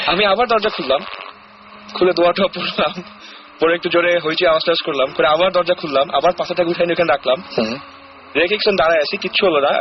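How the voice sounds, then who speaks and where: A high male voice with ordinary pitch variation, over noticeable background noise. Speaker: caller sharing a ghost experience on a radio show. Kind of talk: casual storytelling in a radio interview. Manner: conversational, mixes English words into Bengali.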